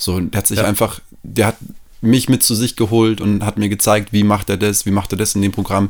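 Speaking at a fairly quick pace, a man holds a fairly low pitch in a monotone, flat delivery. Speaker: musician and music teacher. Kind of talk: casual chat. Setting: at host's home, on the couch.

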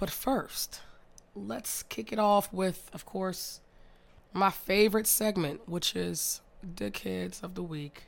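A woman at a medium pitch and a very slow pace, with lively intonation and big swings in loudness, in a very clean recording with a silent background. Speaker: podcast host. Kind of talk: casual monologue. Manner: heavy breathing audible; animated.

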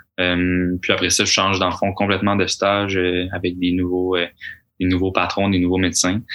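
A man with a very deep, low pitch talks at a fairly quick pace in a bright, sharp tone. His intonation stays monotone and flat over a quiet background. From Quebec. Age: 20s. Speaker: university golfer and medical student. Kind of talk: casual interview. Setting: studio.

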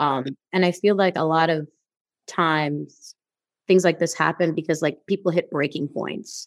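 A woman with an American accent speaks at a moderate pace, her pitch fairly low and her intonation fairly even. It is an unremarkable speaking voice on a very clean recording with a silent background. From New York, the Bronx (Guyanese family). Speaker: podcast host. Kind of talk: interview.

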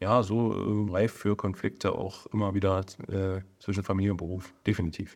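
A fairly low-pitched man's voice on a very clean recording with a silent background. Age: 40s. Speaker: emergency physician and surgeon. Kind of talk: casual interview. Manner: hesitant, many fillers.

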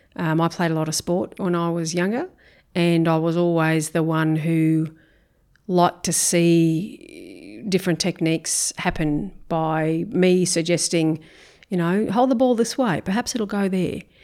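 On a very clean recording with a silent background, a woman with an Australian accent talks at a fairly slow pace and fairly low pitch with ordinary pitch variation. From Brisbane, Australia. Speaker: school principal. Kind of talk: interview.

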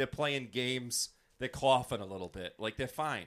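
The voice has a bright, sharp tone and lively intonation. It moves at a fairly quick pace. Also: man. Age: 30s. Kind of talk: casual chat.

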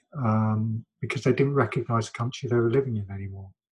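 Somewhat breathy at a medium pitch, a man speaks with a London accent and fairly even intonation. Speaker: academic interviewee. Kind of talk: interview conversation. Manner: reflective, hesitant.

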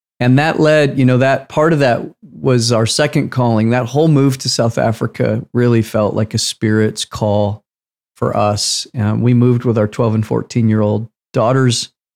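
A man speaks in a plain, everyday voice at medium pitch, with very even loudness and a moderate pace. The recording is very clean, with a silent background. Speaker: podcast co-host. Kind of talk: casual conversational podcast.

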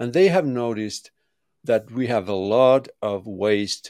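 At a fairly slow pace, a man speaks with a dry, close sound with no echo on a very clean recording with a silent background. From Finland. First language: Finnish. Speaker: construction tech consultant and architect. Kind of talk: interview. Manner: halting.

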